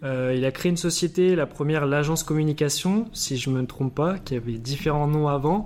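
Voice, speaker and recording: A man with a fairly high voice speaks at a moderate pace with ordinary pitch variation, over noticeable background noise. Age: 20s. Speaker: podcast host. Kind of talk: interview.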